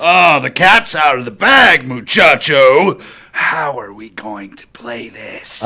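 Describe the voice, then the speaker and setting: This is a man using a put-on character voice. His pitch is medium. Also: fairly slow pace. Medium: comedy sketch. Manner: cryptic, menacing.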